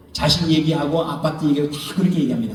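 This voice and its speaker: With noticeable background noise and audible room echo, a man speaks in an animated tone at a fairly high pitch. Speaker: pastor. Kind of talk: sermon. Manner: fast.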